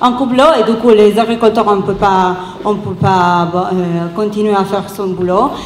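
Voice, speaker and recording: Over noticeable background noise and audible room echo, a woman talks at a fairly slow pace with fairly even intonation. She has an Italian accent. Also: medium pitch for a woman. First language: Italian (speaking French). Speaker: activist. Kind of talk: round table talk. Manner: halting.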